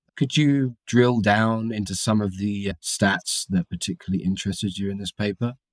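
A man with a plain, everyday voice and fairly low pitch speaks at a moderate pace with ordinary pitch variation and hardly any pauses. The recording is very clean, dry and close, with a silent background and no echo. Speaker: podcast host and reporter. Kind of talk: interview, conversational.

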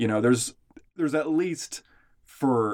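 At a moderate pace, a man with an ordinary speaking voice talks with ordinary pitch variation. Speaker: podcast co-host. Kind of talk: casual chat.

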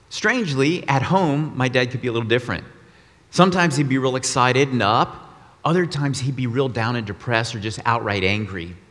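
Audible room echo surrounds a man with an American accent. His medium-pitched voice moves at a fairly quick pace with lively intonation. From Texas, Austin. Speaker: guest preacher. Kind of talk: sermon. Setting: church.

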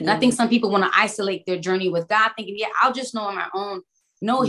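A woman with an American accent uses a normal speaking voice at a medium pitch, with ordinary pitch variation. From Brooklyn, New York. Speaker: worship leader and trainer. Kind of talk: testimony.

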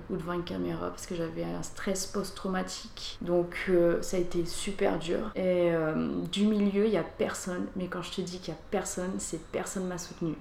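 Against noticeable background noise and audible room echo, a woman speaks at a moderate pace in a fairly low pitch with monotone, flat intonation. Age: 20s. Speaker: former adult film actress. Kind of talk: interview, personal testimony.

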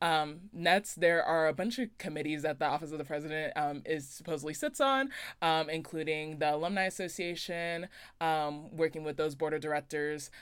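Very deep and low, a woman's voice carries an American accent and ordinary pitch variation. The recording is very clean, with a silent background. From Las Vegas, Nevada. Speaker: student election candidate. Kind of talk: interview. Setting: college radio studio.

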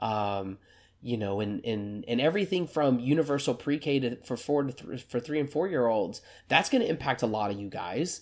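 A man speaks at a moderate pace and a medium pitch, with lively intonation. The recording is very clean, its background silent. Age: 30s. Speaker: podcast host. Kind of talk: solo commentary. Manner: animated; halting.

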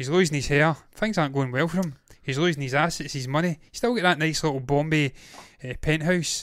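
With an ordinary speaking voice, a man talks at a fairly quick pace in a fairly high pitch for a man, with ordinary pitch variation. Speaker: TV review host. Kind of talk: casual review chat. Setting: online show, late evening.

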